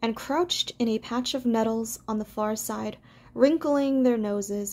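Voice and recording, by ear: A natural voice reading aloud, pitch shifting in an ordinary way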